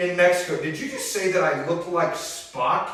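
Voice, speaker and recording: A man is speaking. Audible echo fills the room around him. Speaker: pastor. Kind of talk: casual chat. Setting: church. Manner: animated.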